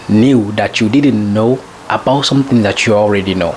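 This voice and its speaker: Noticeable background noise under a voice of ordinary pitch variation. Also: man. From French-speaking country. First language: French. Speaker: self-improvement vlogger. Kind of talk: casual monologue. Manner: halting, with many fillers.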